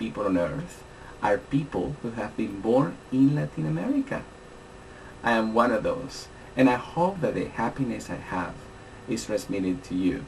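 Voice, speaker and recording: A man speaks with a Spanish accent at a moderate pace, his pitch swinging very widely. Noticeable background noise is audible. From Colombia, Bogotá. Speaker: language teacher. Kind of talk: scripted course introduction.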